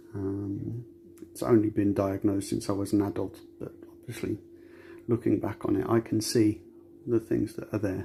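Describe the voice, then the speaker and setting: Soft-spoken and moderate in pace, a man talks with long, frequent pauses. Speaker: metal detectorist sharing mental health story. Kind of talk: personal testimony. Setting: home recording, child asleep on sofa.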